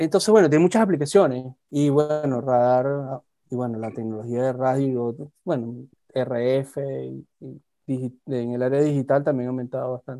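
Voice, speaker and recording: At a moderate pace, a man talks in an unremarkable speaking voice, medium in pitch with ordinary pitch variation. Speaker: aerospace engineer. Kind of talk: casual chat.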